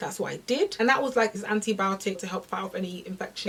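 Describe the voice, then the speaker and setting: A woman with a British accent talks at a very fast pace. Her pitch variation is ordinary, and there is noticeable background noise. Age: 20s. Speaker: fitness content creator. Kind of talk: casual talk to camera.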